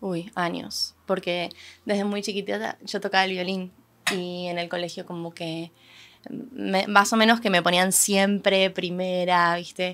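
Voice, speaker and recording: Over light background noise, a woman with a Rioplatense accent and a medium pitch speaks fairly slowly with fairly even intonation. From Argentina. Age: 20s. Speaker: singer-songwriter; guest. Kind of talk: casual interview. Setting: event venue. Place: studio. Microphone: studio mic.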